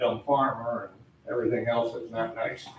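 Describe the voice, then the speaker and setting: A man speaks with an American accent and fairly even intonation. Noticeable background noise runs underneath. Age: 70s. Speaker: farmer speaking at town meeting. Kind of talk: public comment at town board meeting. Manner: conversational storytelling.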